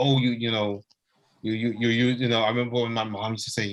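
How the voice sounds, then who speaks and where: A man with a slight Guyanese accent talks at a very fast pace in a flat, monotone delivery. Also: medium pitch for a man. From Guyana. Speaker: discussion participant. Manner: hesitant, many repeated fillers ("you know").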